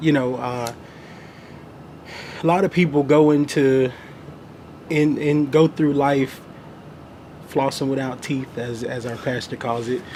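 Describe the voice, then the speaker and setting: Fairly slow, fairly high-pitched speech from a man, with fairly even intonation and long, frequent pauses. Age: 20s. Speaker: financial planner. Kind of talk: interview. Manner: halting, many fillers.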